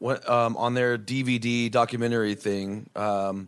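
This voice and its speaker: Very slowly, a man speaks at a medium pitch with fairly even intonation. The recording is very clean, with a silent background. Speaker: rock band musician. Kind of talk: casual chat. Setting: hotel room.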